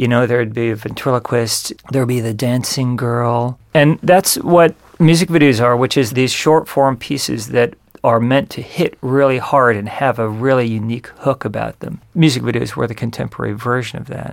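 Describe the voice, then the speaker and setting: This man has an ordinary speaking voice at a medium pitch, talking at a moderate pace with ordinary pitch variation and hardly any pauses. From Southern California. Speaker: music video director. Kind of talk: interview.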